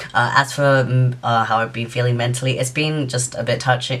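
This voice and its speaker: At a moderate pace, a man talks with a British accent and fairly even intonation. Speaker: YouTuber. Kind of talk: vlog monologue. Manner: halting; flat-sounding. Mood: reflective, hopeful. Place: home room. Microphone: phone near.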